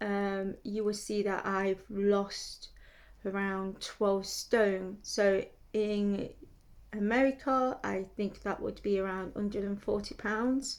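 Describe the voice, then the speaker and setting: A woman's medium-pitched voice with a British accent and fairly even intonation, in a very clean recording with a silent background. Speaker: lifestyle vlogger. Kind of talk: casual talk to camera. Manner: hesitant, many fillers.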